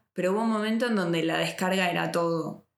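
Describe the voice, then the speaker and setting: A woman's unremarkable speaking voice, fairly low in pitch, with fairly even intonation. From Argentina. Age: 30s. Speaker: podcast host. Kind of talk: interview. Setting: in person recording.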